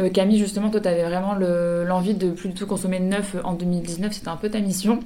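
A woman speaks with fairly even intonation, with audible room echo and noticeable background noise. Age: 30s. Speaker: clothing brand founder. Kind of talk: radio interview. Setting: radio studio.

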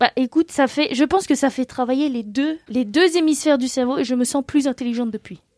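Loud and high-pitched, a woman speaks at a fairly quick pace with hardly any pauses and ordinary pitch variation, in a dry, close sound with no echo. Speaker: graphic designer and illustrator. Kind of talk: casual chat.

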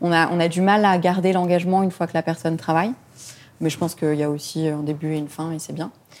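Talking at a very fast pace, a woman uses fairly low pitch and fairly even intonation. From Lebanon. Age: 20s. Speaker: charity founder. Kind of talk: interview.

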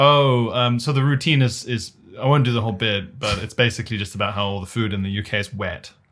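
A man with a British accent talks very fast with ordinary pitch variation. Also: medium pitch for a man. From South Africa, moved to UK as a child. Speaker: stand-up comedian. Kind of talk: casual chat.

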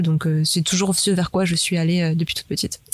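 A woman speaks at a fairly low pitch and a fairly quick pace. Her intonation is monotone and flat. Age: 20s. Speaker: app manager, entrepreneur. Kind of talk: casual interview. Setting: studio.

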